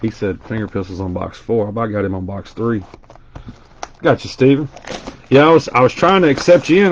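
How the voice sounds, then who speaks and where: Over noticeable background noise, a man with a Southern US accent talks at a fairly quick pace, swinging his pitch very widely and leaving long, frequent pauses. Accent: Southern US twang. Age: 40s. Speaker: card breaker streamer. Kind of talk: live stream card break commentary. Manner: casual, chatty.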